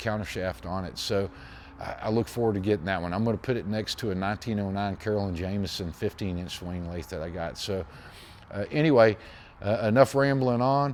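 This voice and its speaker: Speaking at a fairly quick pace with an American accent, a man uses a fairly low pitch and ordinary pitch variation. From Texas, Pasadena near Houston. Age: 60s. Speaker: machinist and machine restorer. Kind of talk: casual chat. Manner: halting, with many fillers and repeats.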